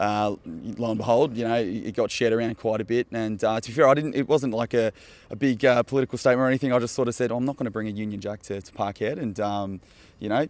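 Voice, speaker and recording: A man with an Australian accent talks at a very fast pace. His pitch is medium and his intonation fairly even. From Australia, Melbourne. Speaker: football fan. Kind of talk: casual interview.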